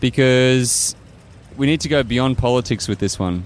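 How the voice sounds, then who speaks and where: Noticeable background noise accompanies a man speaking. He has an Australian accent and a moderate pace. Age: 30s. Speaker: climate activist and engineer. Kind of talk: interview. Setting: outdoors.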